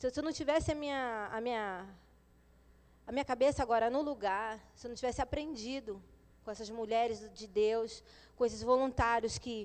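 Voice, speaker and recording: Moderate-paced speech from a woman, her pitch varying in an ordinary way. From São Paulo, moved to Rio at 12. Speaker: former drug addict, mother of three. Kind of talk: testimony. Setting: church service. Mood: earnest, emotional. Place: church. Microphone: handheld.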